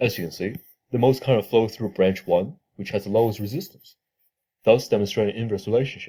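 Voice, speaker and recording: A man's dark, mellow voice at a fairly low pitch, moving at a fairly quick pace. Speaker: engineering student presenting a tutorial. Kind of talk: tutorial.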